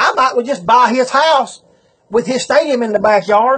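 Against a quiet background, a man with a Southern US accent talks at a moderate pace. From Southern United States. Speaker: auctioneer. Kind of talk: business advice talk to camera. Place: home room. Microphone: phone near.

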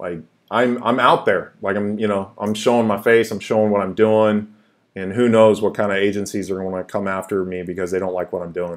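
Over a quiet background, a man with a fairly low pitch talks at a fairly quick pace with fairly even intonation. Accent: West Coast. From US, Seattle. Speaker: YouTube crypto channel host. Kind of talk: casual live-stream chat. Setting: live stream, home office. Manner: halting, many fillers. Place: home room. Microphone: webcam.

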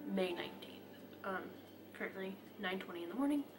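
Clear music sounds behind the voice. The speaker is a woman. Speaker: vlogger. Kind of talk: casual vlog chat. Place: home room. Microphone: phone near.

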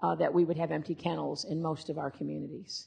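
Behind this woman's voice, the background is quiet. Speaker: animal services director on panel. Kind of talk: panel talk. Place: hall.

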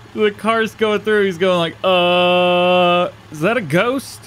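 Noticeable background noise sits behind a man speaking fairly slowly with high pitch. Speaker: gaming YouTuber. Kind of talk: let's play commentary. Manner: casual, self-deprecating.

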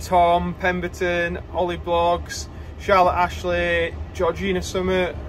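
The speech moves at a fairly slow pace, with light background noise. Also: man. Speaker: farmer vlogger. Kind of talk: casual vlog chat. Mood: relaxed, slightly bored. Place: car. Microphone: phone near.

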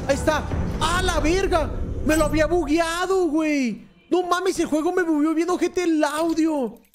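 A man's extremely high voice comes at a fairly slow pace and very even loudness, with light background noise behind it. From Mexico. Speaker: gaming streamer. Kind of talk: casual gaming chat with friends. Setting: online voice chat. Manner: animated, shouting. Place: home room.

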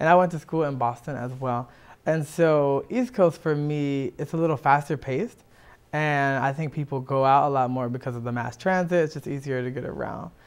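A man with a fairly high pitch speaks in a normal speaking voice at a moderate pace, with ordinary pitch variation. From Washington DC. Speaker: musician; guest. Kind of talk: interview. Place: studio. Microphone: lapel.

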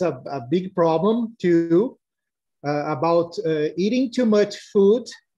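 At a very slow pace, a man speaks with ordinary pitch variation while the background stays quiet. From Brazil. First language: Portuguese. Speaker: parent panelist. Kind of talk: online panel discussion. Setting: video call. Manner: halting. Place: home room. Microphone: video call.

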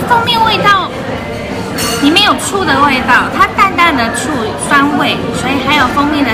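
A woman is speaking. Clear music is heard in the background. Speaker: food vlogger. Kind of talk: casual vlog food review. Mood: cheerful, upbeat. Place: cafe. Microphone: phone near.

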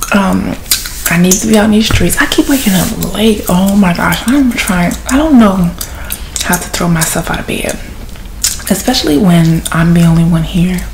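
A woman whispers quietly with an American accent, her voice breathy and gentle in tone against light background noise. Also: moderate pace. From US South. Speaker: ASMR content creator and podcaster. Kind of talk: ASMR gum-chewing soft-spoken chat, casual rambling; whispered, intimate ASMR confiding, hushed close-mic murmur. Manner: hushed, breathy whisper, gentle and lulling. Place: home room. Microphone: phone near.

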